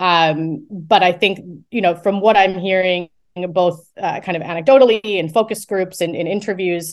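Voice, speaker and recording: In a normal speaking voice with an American accent, a woman talks at a moderate pace with fairly even intonation over a quiet background. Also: medium pitch for a woman. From United States. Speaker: academic research director. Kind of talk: interview.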